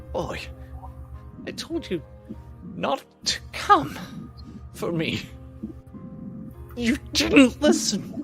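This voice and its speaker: A quiet, put-on character voice with a fairly high pitch, at a very slow pace with long, frequent pauses, over clear music in the background. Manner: quiet, muttering, menacing.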